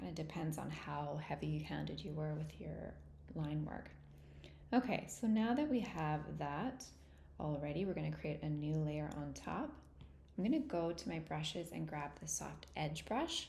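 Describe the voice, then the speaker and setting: Audible room echo surrounds the voice. A woman speaks at a moderate pace. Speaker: art teacher. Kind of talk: tutorial. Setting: livestream. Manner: casual.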